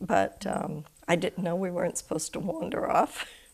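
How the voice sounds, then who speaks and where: Noticeable background noise sits behind a woman with an American accent. She talks at a moderate pace with fairly even intonation. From Maine, US (Harpswell). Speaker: local resident interviewee. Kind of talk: oral history interview.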